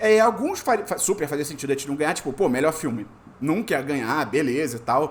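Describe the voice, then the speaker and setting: Fairly high in pitch, a man speaks at a fairly quick pace with lively intonation and an animated tone. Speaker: podcast host. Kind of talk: casual chat. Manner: fast.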